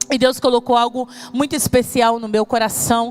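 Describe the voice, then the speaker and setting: With music playing in the background, a woman talks at a moderate pace. Her intonation stays fairly even. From Brazil, Espírito Santo. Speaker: pastor. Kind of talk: sermon.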